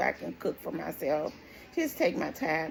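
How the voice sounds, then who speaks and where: A woman's fairly slow speech comes with noticeable background noise. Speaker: stroke survivor vlogger. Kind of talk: personal testimony. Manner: deliberately slow, sounding out words.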